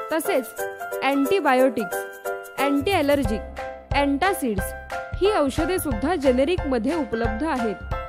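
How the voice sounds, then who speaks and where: Over background music, a woman with a high-pitched voice speaks with lively intonation. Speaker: voice actor. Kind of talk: commercial read, explanatory. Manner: reassuring, informative.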